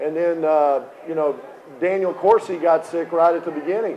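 Light background noise sits behind a man with a high pitch. He talks at a moderate pace in a monotone, flat intonation. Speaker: basketball coach. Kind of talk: interview answer. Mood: relaxed, storytelling, amused. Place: bar. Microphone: handheld.

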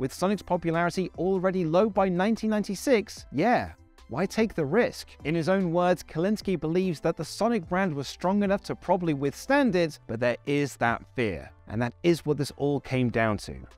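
With faint music in the background, a man with a high pitch talks at a moderate pace with hardly any pauses, in a dry sound with no echo. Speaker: presenter. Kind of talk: documentary narration to camera. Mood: comic flustered aside. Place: hall. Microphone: lapel.

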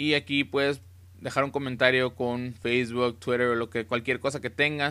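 Over a quiet background, a man with a bright, sharp tone talks at a moderate pace with fairly even intonation. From Tijuana, Baja California, Mexico; Baja California, Mexico. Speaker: YouTuber, car audio installer. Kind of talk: casual website walkthrough tutorial; casual screencast tutorial. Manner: casual, with many fillers. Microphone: webcam.

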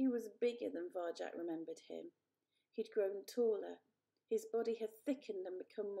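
Over quiet surroundings, the words are read aloud in a natural voice.

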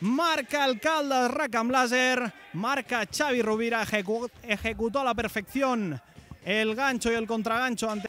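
At a very slow pace, a man uses a raised, projected voice pitched extremely high. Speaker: sports commentator. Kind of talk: live roller hockey commentary, highlights. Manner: drawn-out repeated shouts of goal.

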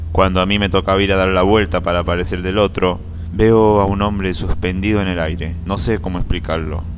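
A man speaks with a very deep, low pitch and fairly even intonation. His moderate pace comes through noticeable background noise. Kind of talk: first-person ghost story telling, recounted as a personal experience.

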